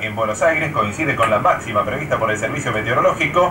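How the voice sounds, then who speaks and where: A man's very fast speech with ordinary pitch variation over noticeable background noise. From Argentina. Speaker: radio news announcer. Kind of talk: radio news bulletin. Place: studio.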